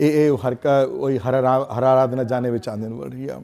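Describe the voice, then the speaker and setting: A man at a fairly slow pace. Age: 60s. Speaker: religious teacher. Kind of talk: lecture. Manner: halting. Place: classroom.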